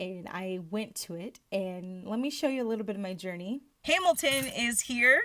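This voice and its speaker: Loud and animated, a woman with a fairly high pitch and lively intonation talks at a moderate pace with hardly any pauses. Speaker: actor and vlogger. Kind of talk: vlog. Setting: at home.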